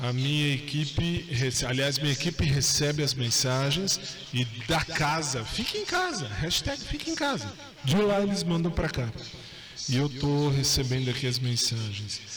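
A man with a fairly high pitch speaks at a moderate pace with ordinary pitch variation and very even loudness. The recording has noticeable background noise and audible room echo. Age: 40s. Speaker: radio host. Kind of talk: live radio show, casual chat. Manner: animated.

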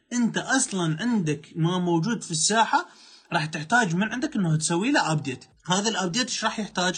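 Here a man with an Iraqi accent speaks at a moderate pace with a high pitch and lively intonation. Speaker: life coach. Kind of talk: motivational talk.

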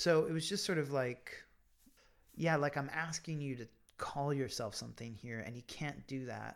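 On a very clean recording with a silent background, a man with a Pennsylvania accent speaks at a moderate pace with ordinary pitch variation. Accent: American, Pennsylvania. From US, small-town Pennsylvania. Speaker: writer and podcaster. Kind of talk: interview about life story. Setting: at guest's home.

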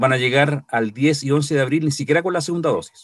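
A plain, everyday voice at a fairly quick pace, with ordinary pitch variation, on a very clean recording with a silent background. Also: man. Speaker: co-host. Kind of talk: casual chat.

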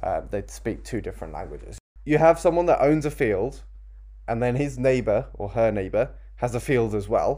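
The pace here is moderate. It's a man, and he has a British accent. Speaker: podcast host. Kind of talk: casual chat, podcast discussion.

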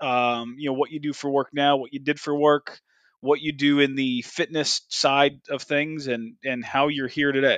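A man's fairly high-pitched voice in monotone, flat intonation at a moderate pace, with a dry, close sound with no echo and a quiet background. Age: 30s. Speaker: podcast host. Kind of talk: casual chat.

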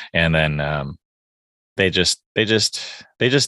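Against a quiet background, a man speaks in a very deep, low voice with ordinary pitch variation and a dry, close sound with no echo. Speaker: podcast host and chef. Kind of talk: casual interview chat.

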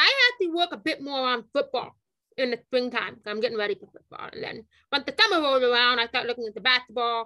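In a raised, projected voice, a woman talks at a fairly quick pace, high in pitch with a bright, sharp tone. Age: 30s. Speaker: high school football and track coach. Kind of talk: podcast interview. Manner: halting, many fillers and repetitions.

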